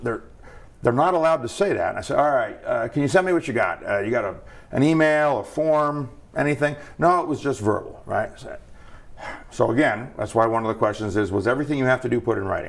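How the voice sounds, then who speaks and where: Animated in tone, a man talks very fast with a fairly high pitch and lively intonation. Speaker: federal regulator, board member. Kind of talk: interview. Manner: conversational, animated.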